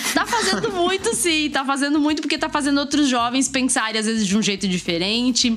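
A woman with a high pitch and lively intonation speaks at a very fast pace over noticeable background noise. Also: hardly any pauses, very even loudness. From Brazil, Mato Grosso do Sul. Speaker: university professor and science communicator. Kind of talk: casual podcast interview. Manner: talkative.

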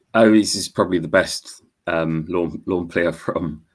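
A man speaks with a Wearside accent. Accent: Wearside (Sunderland) English. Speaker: podcaster and football fan. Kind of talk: casual chat. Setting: video call.

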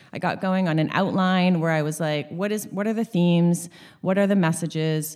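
In an unremarkable speaking voice, a woman with a Canadian accent talks at a moderate pace and a fairly low pitch on a very clean recording with a silent background. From Sunshine Coast, British Columbia, Canada. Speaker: equine therapist and author. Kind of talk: casual interview. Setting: in-person recording.

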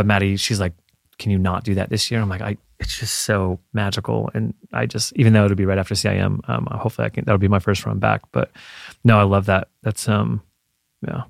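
Dry and close with no echo, this very clean recording on a silent background carries a voice with vocal fry, ordinary pitch variation and a fairly quick pace broken by long, frequent pauses. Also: man. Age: 30s. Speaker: marathon runner and photographer. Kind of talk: casual chat. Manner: animated.

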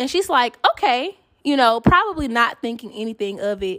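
A woman projects a raised voice at a high pitch, in a bright, sharp, animated tone. Her pitch swings very widely at a moderate pace. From Atlanta, US South. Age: 30s. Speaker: podcast host. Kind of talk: casual solo monologue.

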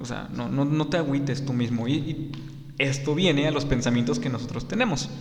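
The man's voice carries audible room echo along with noticeable background noise. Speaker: podcast host. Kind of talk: solo podcast monologue. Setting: studio.

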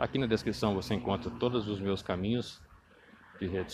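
A man talks with lively intonation at a fairly low pitch. Vocal fry runs through his voice. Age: 40s. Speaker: career coach and tech professional. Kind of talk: monologue podcast. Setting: outdoors on the street.

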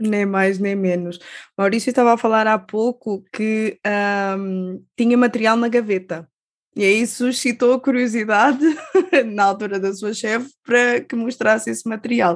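At a fairly slow pace, a woman with a plain, everyday voice speaks fairly high and fairly evenly against a quiet background. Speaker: radio host. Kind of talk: interview.

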